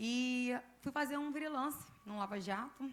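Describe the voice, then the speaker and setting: A woman's voice is somewhat breathy. Her pitch varies in an ordinary way. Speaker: church member giving testimony. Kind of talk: testimony.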